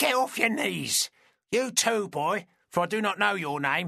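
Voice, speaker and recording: A man puts on a loud, raspy character voice at a high pitch. He speaks at a moderate pace with lively intonation. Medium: read story. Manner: bold, unapologetic.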